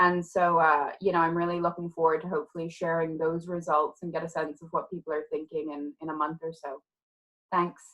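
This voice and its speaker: A woman with a fairly low pitch speaks at a fairly quick pace, her intonation monotone and flat and her loudness swinging widely. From Ireland. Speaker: criminology professor. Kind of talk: online panel discussion. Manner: hesitant, many fillers.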